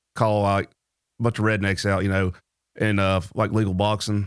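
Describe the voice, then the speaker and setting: On a very clean recording with a silent background, a man with a Tennessee accent speaks at a fairly low pitch. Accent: Tennessee Southern. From Nolensville, Tennessee. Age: 30s. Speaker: amateur boxer and Marine veteran. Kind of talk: casual interview chat.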